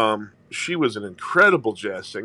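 A man with a St. Louis accent has a bright, sharp tone. He talks at a moderate pace with ordinary pitch variation. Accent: Midwestern American (St. Louis). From St. Louis, Missouri (Italian neighborhood). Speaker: jazz singer. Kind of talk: casual chat.

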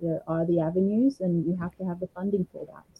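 Speaking at a fairly quick clip, a woman with an Australian accent uses a medium pitch and ordinary pitch variation. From Australia, Brisbane, Queensland. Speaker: singer-songwriter. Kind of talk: interview.

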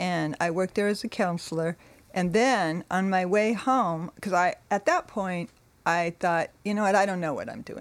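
A woman with a Californian accent talks at a moderate pace and a medium pitch, with ordinary pitch variation. The recording is very clean, the background silent. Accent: Californian American. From California, Monterey. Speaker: church member sharing life story. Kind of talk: testimony.

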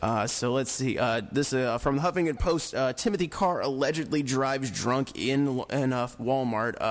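A man has a normal speaking voice. He leaves hardly any pauses and uses ordinary pitch variation. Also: medium pitch for a man, moderate pace. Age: 20s. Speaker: radio co-host. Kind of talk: casual chat; reading aloud. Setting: studio.

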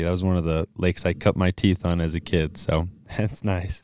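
A man with an American accent speaks at a very deep, low pitch with a dark, mellow tone. The sound is dry and close, with no echo. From US Midwest, southeast Wisconsin. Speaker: podcast host. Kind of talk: interview. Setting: video call.

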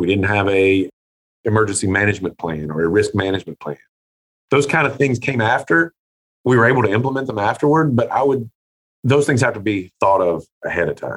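A man with an American accent and an ordinary speaking voice, fairly low in pitch, with lively intonation at a fairly quick pace, in a dry, close sound with no echo. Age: 40s. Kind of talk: interview.

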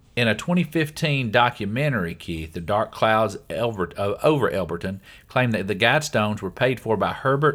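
Over a very clean recording with a silent background, a man with an ordinary speaking voice talks at a fairly quick pace in a medium pitch with lively intonation. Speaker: podcast host. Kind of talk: casual chat. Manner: joking.

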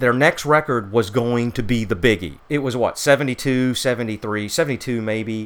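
Here is a plain, everyday voice, its pitch varying in an ordinary way as it moves at a moderate pace. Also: man. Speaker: musician and music fan. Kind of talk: casual chat about music.

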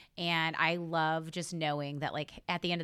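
On a very clean recording with a silent background, a woman with an American accent speaks at a fairly low pitch in a bright, sharp tone. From Northwest Oklahoma. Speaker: small business owner. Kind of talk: casual interview.

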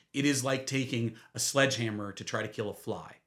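With an American accent, a man speaks in a normal speaking voice at a medium pitch and moderate pace, his intonation fairly even. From Washington State, Olympia. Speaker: lobbyist and attorney. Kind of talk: interview.

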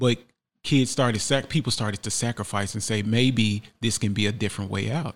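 A man with an unremarkable speaking voice, an American accent, medium pitch, fairly even intonation and a fairly quick pace, on a very clean recording with a silent background. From Memphis, Tennessee (US South). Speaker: artist. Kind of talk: interview storytelling. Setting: studio.

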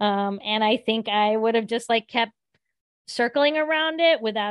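In front of a quiet background, a woman speaks at a moderate pace. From southern West Virginia. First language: Gujarati. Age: 40s. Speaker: teacher and author. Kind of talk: interview conversation. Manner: casual, frequent fillers like um and like.

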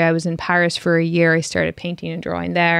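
A woman's fairly low voice with an Irish accent, in a dry, close sound with no echo. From Ireland (Cork). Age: 30s. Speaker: filmmaker. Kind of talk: interview.

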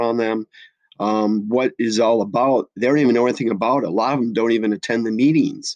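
Recorded with a dry, close sound and no echo, a man with an American accent talks at a fairly quick pace and a medium pitch. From US Midwest (La Crosse, Wisconsin). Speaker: special education teacher. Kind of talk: interview. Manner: many filler words, hesitant.

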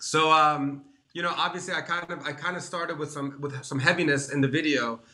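The speaker talks at a fairly quick pace with an American accent over noticeable background noise. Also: man, fairly high pitch for a man. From Washington DC area. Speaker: online show host. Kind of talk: casual interview chat. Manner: enthusiastic.

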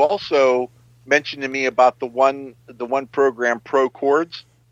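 In a dry, close sound with no echo, a man with a normal speaking voice and a fairly high pitch speaks at a moderate pace. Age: 50s. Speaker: amateur musician. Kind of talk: casual chat; tutorial.

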